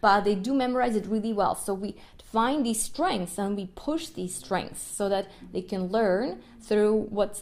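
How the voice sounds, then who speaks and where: In a Russian accent, a woman talks at a fairly slow pace with an animated tone. Her pitch is medium, with ordinary variation. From Ukraine, Kyiv. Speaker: violinist and music educator. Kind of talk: podcast monologue. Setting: live stream.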